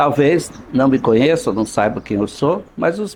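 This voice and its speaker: A man with vocal fry talks at a moderate pace in a fairly high pitch. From Brazil, Minas Gerais (Vazante). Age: 70s. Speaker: local notable, doctor. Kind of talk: interview, reminiscing.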